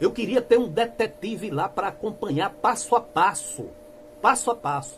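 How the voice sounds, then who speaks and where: Over noticeable background noise, a man talks at a fairly slow pace. His pitch swings very widely. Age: 60s. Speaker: church critic youtuber. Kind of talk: denunciation monologue. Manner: impassioned.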